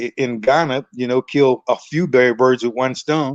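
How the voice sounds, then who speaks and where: The recording is dry and close with no echo as a man speaks at a medium pitch, a moderate pace and with fairly even intonation. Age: 60s. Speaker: retired expat homebuilder. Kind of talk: casual interview. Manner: halting, many fillers and repetitions.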